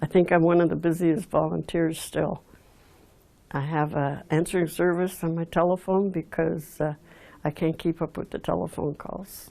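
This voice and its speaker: A woman with an Outaouais accent speaks at a moderate pace in a dark, mellow tone, her fairly low pitch held in a monotone, flat intonation. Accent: Anglophone Canadian English (Outaouais). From Quebec (Aylmer, Outaouais). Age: 80s+. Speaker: local heritage storyteller, volunteer. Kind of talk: oral history interview. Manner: halting, many fillers.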